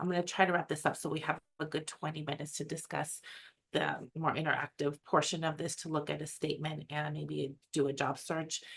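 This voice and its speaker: Speaking at a fairly quick pace with an American accent, a woman uses a very deep, low pitch, vocal fry and a monotone, flat intonation. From US West Coast, San Francisco Bay Area. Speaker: academic webinar presenter. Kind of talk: webinar presentation. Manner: fast.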